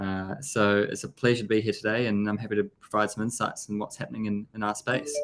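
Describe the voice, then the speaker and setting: Music plays in the background as a man with a strong New Zealand accent talks very fast with hardly any pauses and fairly even intonation. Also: fairly low pitch for a man. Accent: thick New Zealand. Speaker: blockchain business development executive. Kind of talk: interview. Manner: hesitant, many fillers.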